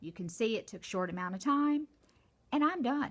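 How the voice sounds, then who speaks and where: Her voice sits fairly high in pitch. This woman swings her pitch very widely. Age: 60s. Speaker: makeup vlogger. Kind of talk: makeup tutorial. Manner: casual, chatty.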